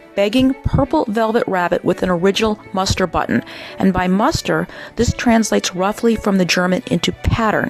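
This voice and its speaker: Music plays behind a woman who talks at a medium pitch. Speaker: auction house presenter or specialist. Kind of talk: auction house item preview narration, descriptive presentation.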